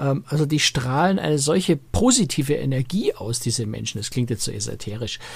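Background noise is noticeable as the speaker keeps to a moderate pace. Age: 50s. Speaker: cruise travel journalist. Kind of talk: casual chat.

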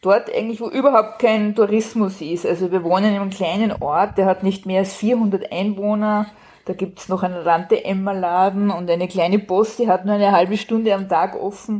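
On a very clean recording with a silent background, a woman speaks at a moderate pace in a dark, mellow tone of medium pitch, her intonation fairly even. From Austria. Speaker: crime novelist. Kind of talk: casual chat.

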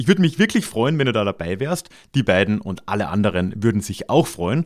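Speaking at a fairly quick pace with a slight Austrian accent, this voice swings very widely in pitch. The recording is very clean, with a silent background. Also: man. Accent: mild Austrian. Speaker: podcast host, historian. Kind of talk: podcast intro and outro monologue.

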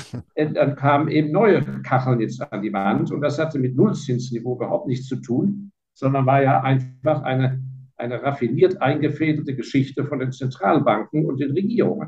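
A man talks at a moderate pace with ordinary pitch variation and an unremarkable speaking voice. His pitch sits fairly high. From Germany (Heidelberg), partly raised in Hong Kong. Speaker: fund manager and investor. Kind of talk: interview.

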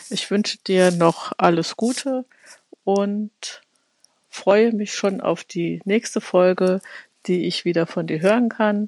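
With long, frequent pauses, a woman talks at a very slow pace. Her intonation stays fairly even. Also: medium pitch for a woman, dry, close sound with no echo. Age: 40s. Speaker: podcast listener. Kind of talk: recorded voice message.

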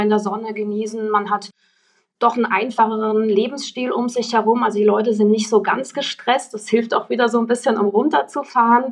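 This is a woman with a fairly high pitch and a plain, everyday voice. She keeps a moderate pace and fairly even intonation. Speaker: electric rally founder. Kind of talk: casual interview.

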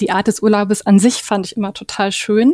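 Recorded dry and close with no echo, a woman speaks in a dark, mellow tone at a fairly high pitch. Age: 40s. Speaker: caravan interior designer, self-employed. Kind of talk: podcast interview. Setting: studio.

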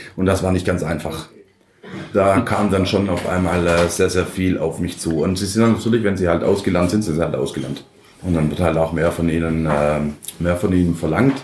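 A man's very deep, low voice amid audible room echo and noticeable background noise. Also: moderate pace. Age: 30s. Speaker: head chef. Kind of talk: interview. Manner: halting, many fillers.

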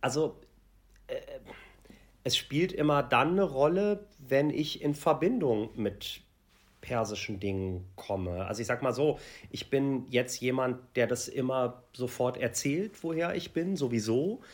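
In a very clean recording with a silent background, a man with a medium pitch speaks very slowly, his intonation lively. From Germany. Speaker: celebrity TV reporter. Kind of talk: interview. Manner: halting.

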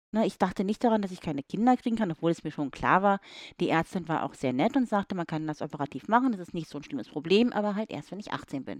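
Over a quiet background, a woman of medium pitch talks very fast with lively intonation, the sound dry and close with no echo. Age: 30s. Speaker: woman telling her story of a rare condition. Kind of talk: casual chat. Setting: sitting on a bed with wine.

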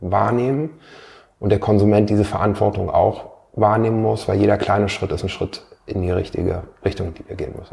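The tone is dark and mellow, with vocal fry. The pace is moderate and the pitch varies in an ordinary way. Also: man. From northern Germany, Hanover area. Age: 40s. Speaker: entrepreneur. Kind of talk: interview. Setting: office. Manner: halting, many fillers.

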